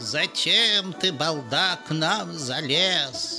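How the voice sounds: A put-on character voice with a bright, sharp tone, lively intonation and a very slow pace, faint music in the background. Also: man, fairly high pitch for a man.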